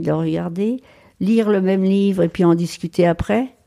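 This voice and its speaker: A woman's dark, mellow voice at a medium pitch with ordinary pitch variation, in a very clean recording with a silent background. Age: 80s+. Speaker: retired farmer. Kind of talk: casual chat. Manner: halting, with frequent repetitions.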